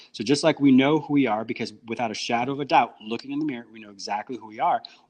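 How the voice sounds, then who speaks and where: A man with an American accent speaks at a very fast pace and medium pitch with ordinary pitch variation. His loudness swings widely against a quiet background. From United States. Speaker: psychotherapist and radio host. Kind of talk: podcast interview.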